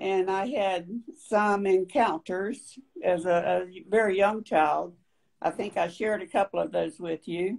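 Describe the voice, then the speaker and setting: The speaker has a North Carolina accent and talks at a fairly slow pace. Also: woman, medium pitch for a woman, ordinary pitch variation. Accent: Southern US (North Carolina). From US South, downtown Raleigh, North Carolina. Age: 70s. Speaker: panel guest. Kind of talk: personal testimony in panel discussion.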